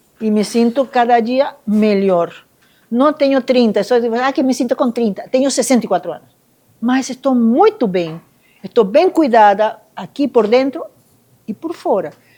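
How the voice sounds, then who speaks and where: A woman with a high pitch, a dark, mellow tone and lively intonation, fairly slow with long, frequent pauses. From Venezuela, Caracas. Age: 60s. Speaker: Buddhist nun. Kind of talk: testimony at a live event.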